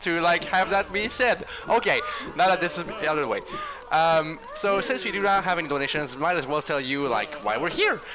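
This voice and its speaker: With a French accent, a man talks fairly quickly at a high pitch and with lively intonation. Noticeable background noise can be heard. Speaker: charity stream host. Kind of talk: casual chat. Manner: stuttering at times.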